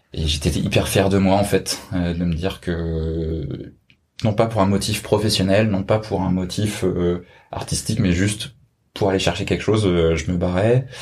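Speaking at a fairly slow pace, a man with a very deep, low voice sounds somewhat breathy, and his intonation stays fairly even. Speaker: friend of the host. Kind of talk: interview.

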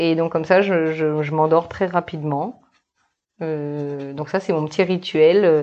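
At a very slow pace, a woman talks with fairly even intonation in a very deep, low pitch. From New Caledonia. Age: 30s. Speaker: marine biologist. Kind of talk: casual interview.

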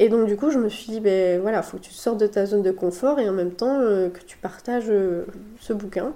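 With an unremarkable speaking voice, a woman talks at medium pitch with ordinary pitch variation and big swings in loudness. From France, Sarthe (Le Mans). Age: 30s. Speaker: pastry chef and business owner. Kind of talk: casual interview. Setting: recorded at host's home.

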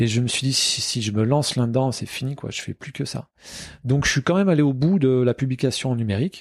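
A man speaks at a fairly quick pace with a medium pitch and ordinary pitch variation. The sound is dry and close, with no echo. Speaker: comic book author. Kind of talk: interview. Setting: martial arts club.

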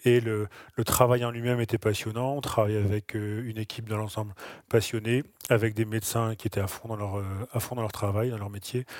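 On a very clean recording with a silent background, a man with a fairly low pitch speaks fairly quickly in a flat, monotone way. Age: 40s. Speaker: nurse. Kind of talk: interview. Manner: halting, with frequent repetitions and fillers.

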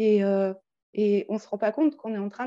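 Here is a woman with a dark, mellow tone. The background is quiet. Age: 40s. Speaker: coaching client with eating disorder history. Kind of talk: testimony. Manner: halting.

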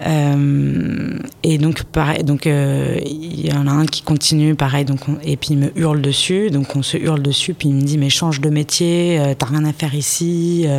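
Against noticeable background noise, a woman with a very deep, low pitch speaks fairly slowly in a monotone, flat delivery, with very even loudness and hardly any pauses. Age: 30s. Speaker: business owner in construction. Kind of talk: interview. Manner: halting.

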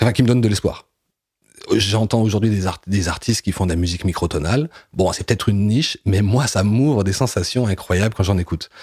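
Somewhat breathy and fairly low-pitched, this man talks at a fairly quick pace with ordinary pitch variation, recorded very cleanly against a silent background. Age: 40s. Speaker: comic book writer and filmmaker. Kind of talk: interview. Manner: halting, many hesitations.

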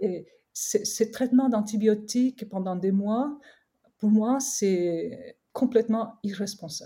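The voice is somewhat breathy with a dark, mellow tone and a very slow pace. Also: woman, fairly high pitch for a woman, ordinary pitch variation. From Korea. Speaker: skincare brand co-founder. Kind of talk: interview. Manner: halting.

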